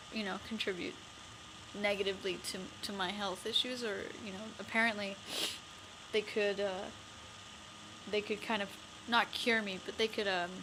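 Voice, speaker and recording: Noticeable background noise sits behind a woman speaking at a medium pitch and a moderate pace. Her intonation is monotone and flat, broken by long, frequent pauses. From Canada, Winnipeg. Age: 20s. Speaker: vlogger. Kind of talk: personal vlog. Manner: halting.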